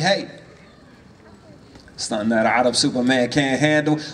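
A man with an American accent at a moderate pace. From US, Washington DC. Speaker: rapper. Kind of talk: spoken word performance. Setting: stage with audience. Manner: rhythmic. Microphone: handheld.

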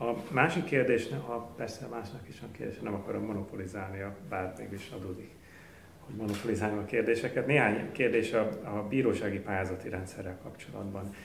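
A man's fairly low voice at a very fast pace, with big swings in loudness, ordinary pitch variation, audible room echo and light background noise. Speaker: institute event host and moderator; institute event host, moderator. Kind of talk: formal introduction and moderating. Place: meeting room. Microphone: podium.

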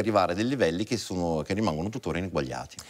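A man's intonation is lively, and the background stays quiet. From Italian origin. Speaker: violinist; guest. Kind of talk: TV interview. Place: studio. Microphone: lapel.

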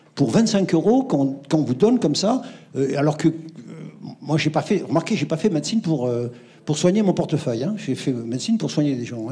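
Dark, mellow tone with very wide pitch swings at a moderate pace. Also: man. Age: 70s. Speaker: retired doctor, audience member; audience member. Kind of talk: audience question. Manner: animated. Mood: indignant, nostalgic. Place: hall.

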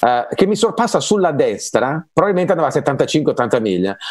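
A man with a fairly high pitch and vocal fry talks at a moderate pace with very wide pitch swings, in a dry sound with no echo against a quiet background. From Lombardy, Legnano; Lombardy. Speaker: singer and English pronunciation coach; guest. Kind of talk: casual chat. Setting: video call. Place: home room. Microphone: earbuds.

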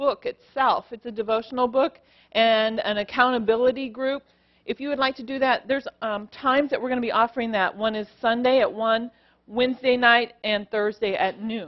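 A woman's high-pitched voice with fairly even intonation over a quiet background. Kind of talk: church announcements. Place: church. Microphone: headset.

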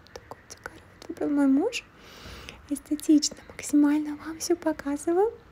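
A soft-spoken woman's high voice in a relaxed tone, at a moderate pace with ordinary pitch variation, big swings in loudness, long, frequent pauses and noticeable background noise. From Switzerland (Russian speaker living there). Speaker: ASMR vlogger. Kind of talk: casual vlog talk to camera. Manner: quiet, soft-spoken, relaxed.

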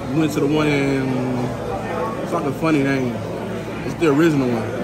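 Loud background noise accompanies speech with ordinary pitch variation. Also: man. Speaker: food vlogger. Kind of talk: casual vlog chat. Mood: relaxed, pleased. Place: cafe. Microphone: phone near.

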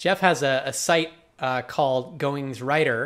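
A man with a fairly high pitch talks at a moderate pace over a quiet background. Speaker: blogging channel host. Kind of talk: interview. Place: home room. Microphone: webcam.

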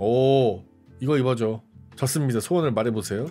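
A man's voice over faint music in the background. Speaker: live streamer. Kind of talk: casual stream commentary reacting to memes. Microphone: studio mic.

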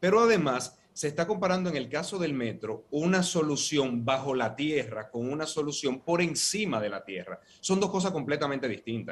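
The delivery moves at a moderate pace with lively intonation and hardly any pauses. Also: man, fairly high pitch for a man. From Dominican Republic. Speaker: opposition party vice president; guest. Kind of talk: political debate panel. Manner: measured, formal. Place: office. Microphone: earbuds.

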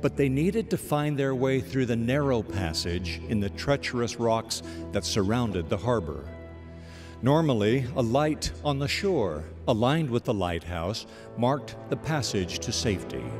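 Against music in the background, a man at a medium pitch talks at a fairly slow pace with very wide pitch swings. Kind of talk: spoken-word inspirational narration (radio devotional).

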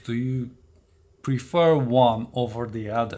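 The recording is very clean and the background silent. A man talks in a non-native accent. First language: not English. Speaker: tech reviewer. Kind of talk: product review video.

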